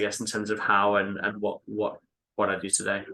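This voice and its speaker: With an English accent, a man talks at a moderate pace in a fairly low pitch, his tone bright and sharp over a quiet background. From England. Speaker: real estate investment executive. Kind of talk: interview. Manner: halting, many fillers.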